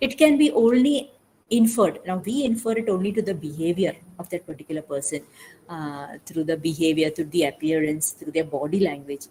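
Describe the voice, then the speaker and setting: Somewhat breathy and dark, mellow in tone, a woman's fairly low-pitched voice moves at a fairly quick pace with lively intonation. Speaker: mental health speaker. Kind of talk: webinar talk. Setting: online webinar. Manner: fast; hesitant, many fillers.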